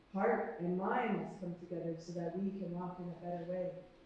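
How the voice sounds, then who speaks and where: Noticeable background noise is present throughout. The speaker is a woman. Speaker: spoken word poet. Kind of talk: spoken word poetry performance. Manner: impassioned.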